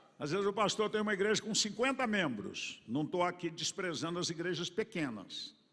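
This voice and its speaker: A man at a moderate pace. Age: 70s. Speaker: pastor. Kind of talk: sermon. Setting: church conference with congregation.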